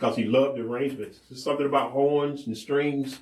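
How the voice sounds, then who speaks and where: A man with a normal speaking voice talks at a fairly quick pace, medium in pitch, with fairly even intonation. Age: 60s. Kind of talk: casual chat.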